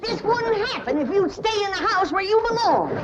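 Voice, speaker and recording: A woman does a put-on character voice at an extremely high pitch. Loud background noise runs behind her. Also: moderate pace. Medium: short film. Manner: cantankerous, folksy.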